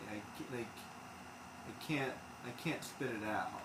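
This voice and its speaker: A man speaks at a fairly slow pace and a medium pitch, with ordinary pitch variation, audible room echo and noticeable background noise. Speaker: game streamer. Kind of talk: casual chat. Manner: stumbles over words.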